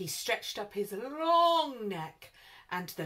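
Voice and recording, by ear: Natural-voiced reading aloud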